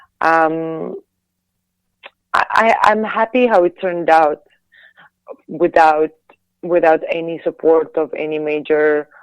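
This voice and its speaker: Very slowly and with long, frequent pauses, a woman speaks in a Latvian accent at a fairly low pitch with ordinary pitch variation, in a dry, close sound with no echo. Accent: Latvian accent, harsh. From Latvia, Riga. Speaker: singer and actress, former figure skater. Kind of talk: interview. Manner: halting, many repeated words.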